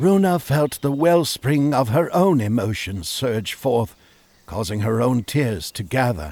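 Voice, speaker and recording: Speaking at medium pitch, a man has a plain, everyday voice. He goes at a fairly slow pace. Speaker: audiobook narrator. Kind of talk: children's audiobook narration.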